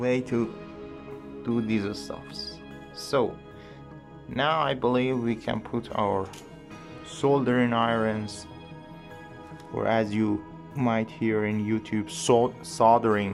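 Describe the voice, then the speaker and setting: Music plays behind a man with an English accent who speaks very slowly at a medium pitch, with lively intonation and long, frequent pauses. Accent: non-native English, put-on English. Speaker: electronics hobbyist modder. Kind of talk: tutorial narration. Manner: hesitant, many fillers.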